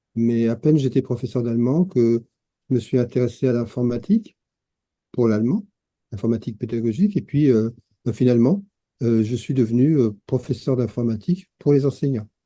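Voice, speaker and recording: A man's dark, mellow, medium-pitched voice at a moderate pace, with ordinary pitch variation and long, frequent pauses. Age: 70s. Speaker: retired teacher and peer-support founder. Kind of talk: interview. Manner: hesitant, many fillers.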